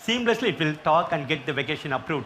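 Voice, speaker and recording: A man speaks with a strong Indian accent. His pace is fairly quick. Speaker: healthcare IT customer. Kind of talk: panel interview on stage.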